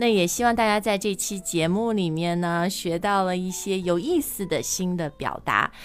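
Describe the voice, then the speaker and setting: A woman with a Chinese accent, at a moderate pace with hardly any pauses. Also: medium pitch for a woman, ordinary pitch variation. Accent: Mandarin Chinese accent in English. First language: Mandarin Chinese. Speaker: English teaching podcast host. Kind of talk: show intro and promo.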